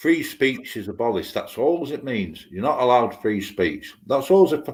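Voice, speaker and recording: Very wide pitch swings from a man with a British accent. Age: 50s. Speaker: live stream chat participant. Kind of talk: casual chat, political rant. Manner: animated.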